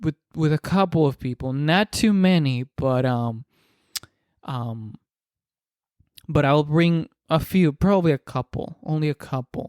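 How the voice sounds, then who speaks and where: With a Spanish accent, a man speaks fairly slowly in a fairly high voice, leaving long, frequent pauses, and the sound is dry and close with no echo. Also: ordinary pitch variation. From Dominican Republic. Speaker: podcaster. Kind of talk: casual monologue. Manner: halting, many repetitions and fillers.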